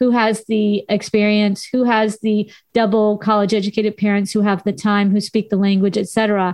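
A woman talks at medium pitch and a moderate pace. The background is quiet. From Southern California. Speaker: radio host and university lecturer. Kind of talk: casual radio interview.

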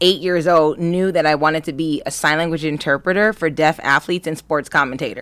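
On a very clean recording with a silent background, a woman with an American accent speaks at a fairly low pitch with ordinary pitch variation. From US West Coast, Los Angeles County. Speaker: actress and entrepreneur. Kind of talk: casual interview chat. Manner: animated.

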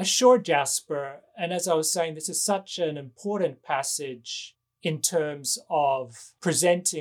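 With an Australian accent, a man talks using ordinary pitch variation on a very clean recording with a silent background. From Western Australia, Perth. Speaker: novelist and professor. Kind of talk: interview conversation.

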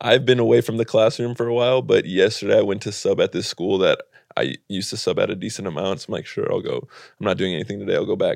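Against a quiet background, a man talks at a very fast pace, the sound dry and close with no echo. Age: 30s. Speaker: podcast co-host, comedian and teacher. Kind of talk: casual chat.

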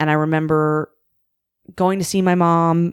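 With a western Canadian accent, a woman speaks fairly slowly and with fairly even intonation in a dry, close sound with no echo, in a very clean recording with a silent background. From Canada, Vancouver. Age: 30s. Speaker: comedian. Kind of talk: casual chat.

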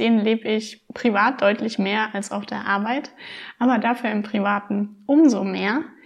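With an ordinary speaking voice, a woman talks at a moderate pace. Her pitch is fairly high and varies in an ordinary way. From Rhineland-Palatinate, Germany. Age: 20s. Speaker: minimalism blogger. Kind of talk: casual interview.

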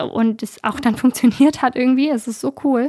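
A woman's high-pitched voice at a moderate pace, dry and close with no echo, in a very clean recording with a silent background. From northern Germany, Bremen. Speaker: activist, volunteer program leader. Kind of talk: interview.

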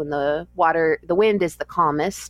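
Her pitch is very deep and low for a woman. She speaks at a moderate pace. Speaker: long-distance trekker. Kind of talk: interview.

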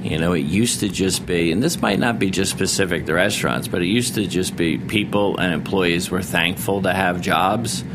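With music playing behind him and audible echo in the room, a man with a very deep, low voice and an American accent talks at a fairly quick pace, his loudness very even and his pitch varying normally. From Rhode Island and Philadelphia. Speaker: chef and restaurateur. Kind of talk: interview. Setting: studio.

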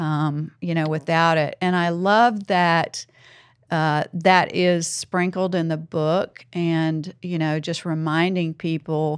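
A woman speaks very slowly with a Southern US accent, fairly low in pitch and monotone, with flat intonation. The recording is very clean, with a silent background. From US South. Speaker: podcast host. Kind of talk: interview podcast. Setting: studio.

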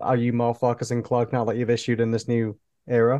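This man has a medium pitch and a dark, mellow tone, in a Yorkshire accent. The background is quiet. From northern England. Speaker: podcast host. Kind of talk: casual chat.

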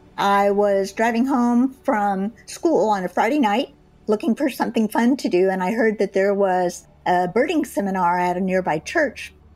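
In an American accent, a woman talks at a moderate pace with hardly any pauses, using an ordinary speaking voice at a medium pitch, lively intonation and very even loudness. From Texas. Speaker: retired teacher and birder. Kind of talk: personal storytelling. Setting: at home.

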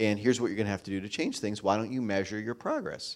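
On a very clean recording with a silent background, a man with an American accent uses a normal speaking voice, fairly low in pitch, with ordinary pitch variation. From rural Pennsylvania. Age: 40s. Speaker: tech entrepreneur. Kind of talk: live interview on stage. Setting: stage with audience.

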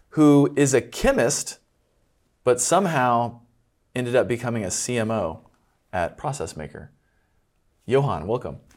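A man speaks at a moderate pace with lively intonation and long, frequent pauses. The recording is very clean, with a silent background. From US Midwest, Kansas City area. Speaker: podcast host. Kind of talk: interview.

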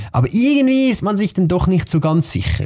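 A man's somewhat breathy voice with a dark, mellow tone and lively intonation. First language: Swiss German (speaking German). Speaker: podcast host. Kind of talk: interview conversation.

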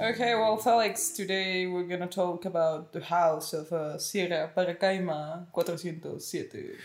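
At a fairly slow pace with hardly any pauses, a woman with a Spanish accent speaks in a fairly low voice with fairly even intonation. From Mexico. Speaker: podcast guest, host's sister. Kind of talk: casual chat.

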